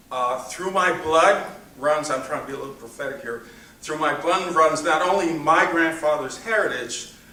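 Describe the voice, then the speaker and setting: There is noticeable background noise and audible room echo. A man with a fairly high pitch talks at a moderate pace with ordinary pitch variation. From New York City. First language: Spanish. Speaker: grandson of honoree, giving acceptance speech. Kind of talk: acceptance speech. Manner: halting, many fillers.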